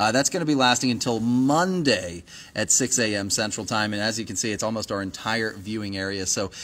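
Talking at a fairly quick pace, a man with an unremarkable speaking voice and fairly low pitch shows ordinary pitch variation. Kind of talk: weather commentary on a livestream. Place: studio. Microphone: phone near.

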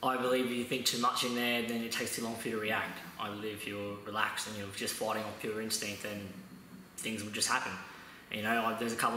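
Talking at a very fast pace with flat, monotone intonation, a man is heard with audible room echo and light background noise. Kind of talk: interview answer.

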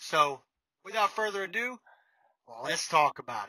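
A man talks at a fairly slow pace with a bright, sharp tone. The sound is dry with no echo, over a quiet background. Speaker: truck driver vlogger. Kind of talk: casual vlog chat. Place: car. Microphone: phone near.

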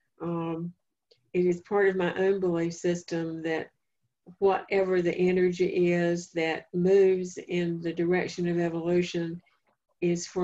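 A woman's fairly low, dark and mellow voice with a North Carolina accent, flat monotone intonation and a fairly slow pace. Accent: Southern US (North Carolina). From eastern North Carolina, Duplin County. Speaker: family therapist and speaker; presenter. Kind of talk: lecture; lecture / talk answer. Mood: calm, reflective. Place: home room. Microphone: video call.

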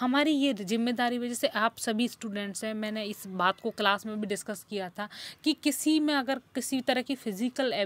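In a very clean recording with a silent background and a dry, close sound with no echo, a woman with a fairly high pitch speaks in an unremarkable speaking voice, with ordinary pitch variation and hardly any pauses. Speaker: English lecturer. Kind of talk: lecture.

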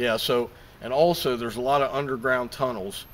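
The speaker is a man with fairly even intonation. He goes at a moderate pace against light background noise. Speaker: paranormal investigator host. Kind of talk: casual vlog intro. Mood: calm, slightly spooked. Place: open country. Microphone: camera far.

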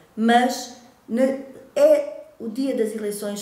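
There is audible room echo around the voice. A woman speaks with ordinary pitch variation. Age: 50s. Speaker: local election candidate, secondary school Portuguese teacher; election candidate, secondary school Portuguese teacher. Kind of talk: campaign self-presentation to camera. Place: home room.

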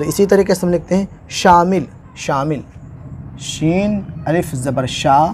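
A man's high voice at a very slow pace, with ordinary pitch variation, amid noticeable background noise. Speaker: Urdu teacher, YouTuber. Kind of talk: tutorial. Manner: halting.

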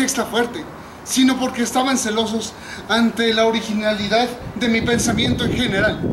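Over noticeable background noise, a man talks at an extremely high pitch in a monotone, flat intonation. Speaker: actor in a staged scene. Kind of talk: theatrical monologue. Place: garden. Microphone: camera far.

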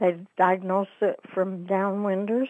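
A woman talks with an American accent against a quiet background. The sound is dry, with no echo. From Utah, US. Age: 80s. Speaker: interviewee, downwinder oral history participant. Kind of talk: oral history interview, recounting memories. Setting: phone call. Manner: hesitant, with fillers. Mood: reflective, somber. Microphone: phone line.

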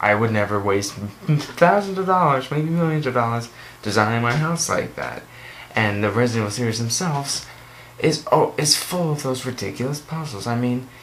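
There is light background noise behind a man's voice. He speaks at a moderate pace with lively intonation. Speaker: video game vlogger. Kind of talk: casual rant commentary. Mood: annoyed, ranting. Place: home room. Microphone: webcam.

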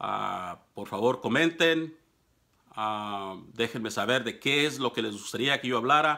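With a Mexican accent, a man talks at a fairly slow pace in a bright, sharp tone with ordinary pitch variation against a quiet background. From Mexico. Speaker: political commentator. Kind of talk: monologue to camera. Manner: hesitant, many fillers. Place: office. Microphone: phone near.

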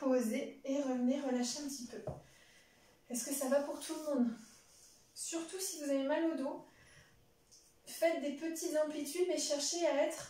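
A woman speaks at a high pitch and a fairly slow pace, with long, frequent pauses. Her intonation stays fairly even, and the room echo is audible. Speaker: fitness instructor. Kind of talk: exercise class instruction. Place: home room. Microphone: camera far.

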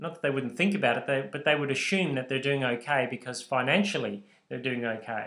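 With an Australian accent, a man talks at a fairly quick pace and a fairly high pitch. His tone is bright and sharp, and the background is quiet. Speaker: bible teacher. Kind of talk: lecture. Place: home room. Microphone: webcam.

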